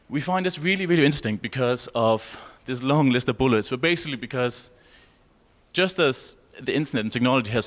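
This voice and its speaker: A man speaks at a very fast pace with a medium pitch. His intonation is lively. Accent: Danish. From Denmark. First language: Danish. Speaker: researcher. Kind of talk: conference presentation. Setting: conference session with audience and interpreters.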